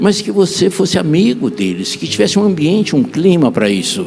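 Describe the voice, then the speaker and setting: Over music in the background, a man with a fairly high pitch speaks at a fairly slow pace, his pitch swinging very widely. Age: 70s. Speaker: apostle preacher. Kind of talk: sermon.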